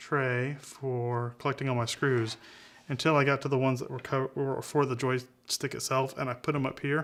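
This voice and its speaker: Mumbling at a moderate pace, the man keeps a medium pitch and fairly even intonation. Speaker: videographer doing a hardware repair tutorial. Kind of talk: tutorial. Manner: halting.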